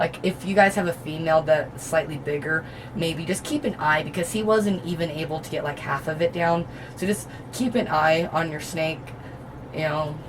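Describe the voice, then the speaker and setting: Noticeable background noise sits behind speech that carries ordinary pitch variation and keeps a moderate pace. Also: woman, very deep, low pitch for a woman. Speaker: reptile keeper and video host. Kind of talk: casual tutorial. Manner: hesitant, many ums.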